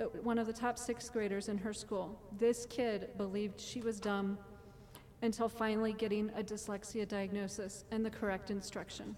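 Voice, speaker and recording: A woman's fairly high, flat, monotone voice at a moderate pace, amid noticeable background noise. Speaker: parent speaking at public comment. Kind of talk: public testimony. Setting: board meeting with audience.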